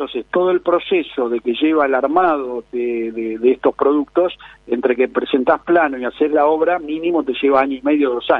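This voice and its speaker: A man talks in an ordinary speaking voice. His pitch varies in an ordinary way. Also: fairly high pitch for a man, moderate pace. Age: 50s. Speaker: real estate advisor. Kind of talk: interview.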